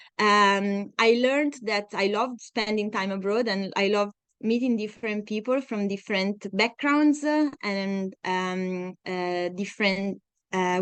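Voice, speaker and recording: Moving at a fairly slow pace, a woman speaks at medium pitch with ordinary pitch variation. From Italy, Tuscany (Siena). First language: Italian. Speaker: scientist. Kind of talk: lecture. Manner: halting, many fillers.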